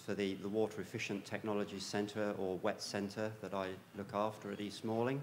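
Fairly quick speech from a man with a fairly low pitch, plus audible room echo. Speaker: plant science researcher. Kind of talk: conference lecture. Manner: hesitant, many fillers.

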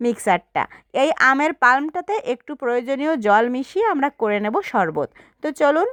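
The intonation is lively, and the sound is dry and close with no echo. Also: woman. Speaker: cooking video creator. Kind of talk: cooking tutorial. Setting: outdoors.

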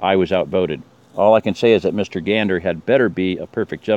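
The speaker reads in a natural reading voice with fairly even intonation.

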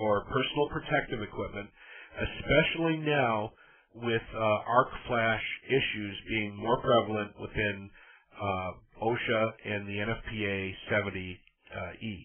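Speaking in a normal speaking voice, a man keeps a medium pitch with ordinary pitch variation. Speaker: electrical reliability trainer. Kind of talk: technical training presentation. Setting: online presentation audio, slightly tinny.

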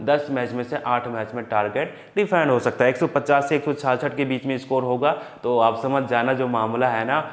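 Pitched in the medium range, a man talks at a moderate pace with ordinary pitch variation and few pauses.

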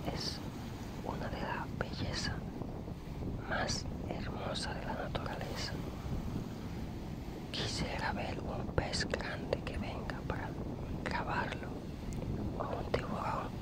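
Loud background noise fills a dry recording with no echo, where the speech moves at a very slow pace with long, frequent pauses. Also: man. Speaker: ASMR creator. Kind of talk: ASMR vlog talk to viewer. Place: beach. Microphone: phone near.

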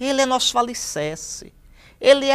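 Over a quiet background, a man with a Brazilian accent speaks in a warm tone at an extremely high pitch. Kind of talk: sermon, scripture meditation. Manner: earnest, warm and pastoral; measured, didactic, emphatic on key phrases. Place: studio.

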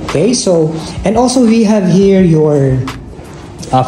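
A fairly slow delivery over faint background music. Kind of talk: property tour narration. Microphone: phone near.

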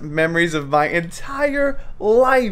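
Music plays in the background as a man speaks at a very slow pace. His high voice moves in very wide pitch swings. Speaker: travel vlogger. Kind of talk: casual vlog chat. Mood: cheerful, joking. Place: home room. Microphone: phone near.

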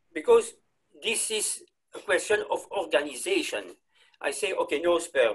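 Against a quiet background, a man speaks at a moderate pace with long, frequent pauses. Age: 60s. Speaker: clinical embryologist; presenter. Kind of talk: lecture. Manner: halting. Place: home room. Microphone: webcam.

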